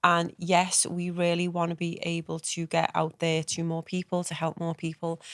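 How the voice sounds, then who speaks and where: A woman with a Liverpool accent speaks at a moderate pace in a fairly low, flat monotone with hardly any pauses, the recording very clean, dry and close, with no echo and a silent background. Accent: Liverpool (Scouse). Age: 40s. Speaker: podcast co-host. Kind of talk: casual chat.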